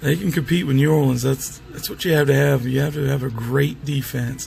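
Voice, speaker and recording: A man speaks at medium pitch and a moderate pace with fairly even intonation, with music in the background. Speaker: sports picks commentator. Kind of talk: casual talk to camera. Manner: hesitant, filler-heavy.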